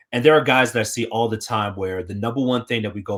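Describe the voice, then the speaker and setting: A man with an American accent talks very fast in a fairly low pitch, with ordinary pitch variation, on a very clean recording with a silent background. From Colorado, Denver. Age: 30s. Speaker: TV sports reporter, former college football player. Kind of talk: casual chat.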